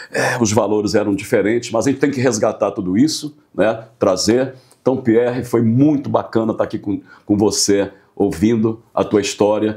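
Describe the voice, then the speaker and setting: The voice has a dark, mellow tone. It moves at a moderate pace with fairly even intonation. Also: man, medium pitch for a man. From Portugal. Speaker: business association president, interview host. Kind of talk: interview.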